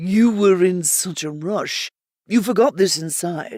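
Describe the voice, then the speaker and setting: A female-sounding put-on character voice sits at a middle pitch. The pace is fairly slow. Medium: read story. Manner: warm, easygoing.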